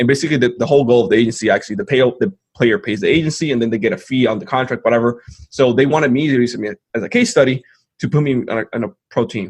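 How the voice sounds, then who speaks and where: The man's very fast delivery stays at a medium pitch with ordinary pitch variation. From Dominican Republic. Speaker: entrepreneur. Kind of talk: interview. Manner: hesitant fillers, many 'like'.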